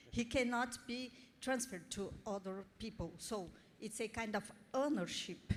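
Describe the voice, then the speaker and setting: A fairly high-pitched woman's voice at a fairly slow pace, with ordinary pitch variation. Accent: Portuguese. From Brazil. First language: Portuguese. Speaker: audience member at expert meeting. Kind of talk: question from the floor. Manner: halting.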